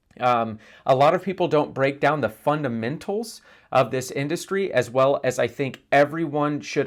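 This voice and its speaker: The man has a normal speaking voice and an American accent, pitched fairly high. His intonation is lively, and the recording is very clean with a silent background. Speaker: internet marketing trainer. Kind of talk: course introduction. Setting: on camera. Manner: casual, conversational.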